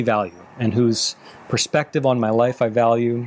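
A man talks in an unremarkable speaking voice. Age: 30s. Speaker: relationship coach and podcast host. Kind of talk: advice Q&A monologue.

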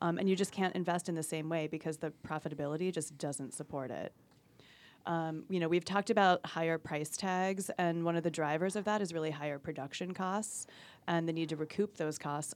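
A woman's fairly quick, fairly low-pitched voice with fairly even intonation, an unremarkable speaking voice on a very clean recording with a silent background. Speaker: life sciences industry advisor. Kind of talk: casual professional discussion.

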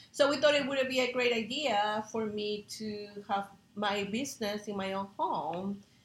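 Speaking with a Spanish accent, a woman sounds somewhat breathy at a fairly slow pace, her fairly high pitch moving with ordinary variation. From Peru. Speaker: chef. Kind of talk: interview.

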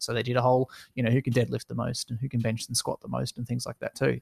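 With an Australian accent and vocal fry, a man speaks very fast at a medium pitch in a flat monotone, his sound dry and close with no echo against a quiet background. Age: 20s. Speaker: esports business owner. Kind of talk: casual interview.

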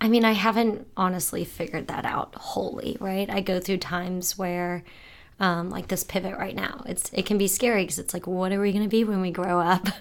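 Recorded very cleanly against a silent background, a woman with an unremarkable speaking voice and an American accent talks fairly quickly at a medium pitch with fairly even intonation. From Florida. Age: 20s. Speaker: nonprofit founder. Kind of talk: interview.

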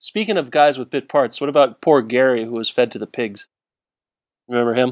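In a very clean recording with a silent background and a dry, close sound with no echo, a man with an ordinary speaking voice talks at a fairly quick pace, medium in pitch with ordinary pitch variation. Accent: American. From Southern California. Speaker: podcast guest. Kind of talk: casual chat.

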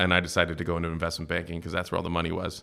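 On a very clean recording with a silent background, a man with an American accent and a very deep, low pitch speaks at a very fast pace in a bright, sharp tone. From US Midwest (Cincinnati, Ohio). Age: 30s. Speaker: venture capital investor. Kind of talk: interview. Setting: in-person, San Francisco.

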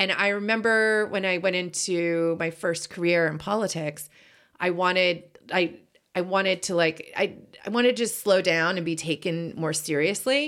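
She talks at a moderate pace in an American accent. Her medium pitch rises and falls with ordinary variation. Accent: mostly general American, little Boston. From Boston. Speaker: podcast co-host. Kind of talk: casual chat. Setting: home closet studio.

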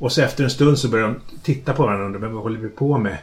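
This man speaks at a very fast pace. His pitch is medium, with ordinary variation. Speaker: fantasy author. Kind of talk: casual chat. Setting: in his home kitchen, in person.

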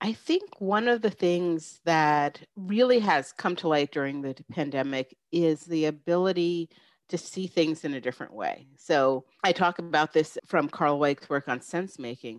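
A woman with a New York accent speaks in a fairly low voice with ordinary pitch variation and hardly any pauses, recorded dry and close with no echo over a quiet background. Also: fairly slow pace. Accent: American, New York area. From New York State, small town north of the city. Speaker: business professor. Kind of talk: interview conversation.

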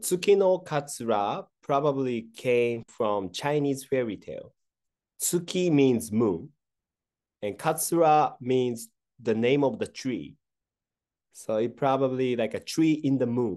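A man speaks at a fairly slow pace in a medium pitch, his dark, mellow tone carried by lively intonation. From Japan, Kyoto. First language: Japanese. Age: 30s. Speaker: sake brewery CEO. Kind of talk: interview.

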